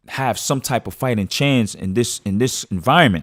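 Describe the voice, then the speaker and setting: A man with a New York accent, fairly low pitch, ordinary pitch variation and an animated tone, in a very clean recording with a silent background and a dry, close sound with no echo. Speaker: podcast host. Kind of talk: casual monologue. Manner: halting.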